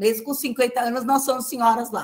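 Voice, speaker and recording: Her pitch sits fairly high. The woman is heard against a quiet background. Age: 70s. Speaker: literature professor. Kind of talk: lecture. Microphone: webcam.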